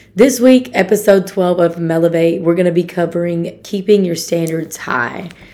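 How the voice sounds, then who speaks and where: Noticeable background noise surrounds a woman whose pitch is fairly low. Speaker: podcast host. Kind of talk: motivational podcast monologue.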